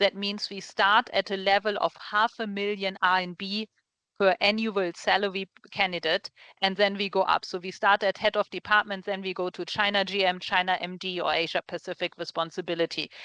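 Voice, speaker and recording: Bright and sharp in tone, the speaker has a strong German accent and talks at a fairly quick pace in a monotone, flat intonation, with a dry, close sound, no echo and a quiet background. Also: woman, medium pitch for a woman. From Germany. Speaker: recruiter and webinar host. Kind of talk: webinar presentation. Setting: video call webinar.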